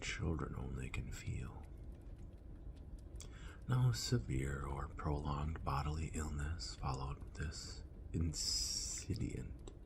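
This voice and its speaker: The speaker is soft-spoken, with a calm, gentle tone and a very slow pace, over noticeable background noise. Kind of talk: soft-spoken ASMR book reading. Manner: soft-spoken, calm, gentle.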